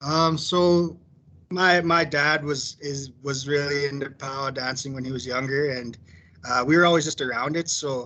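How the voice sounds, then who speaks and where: A man with a western Canadian accent, fairly even intonation and a moderate pace. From Alberta, Canada. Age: 30s. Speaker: powwow dancer and company employee. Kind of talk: casual sharing circle talk. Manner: halting, many fillers.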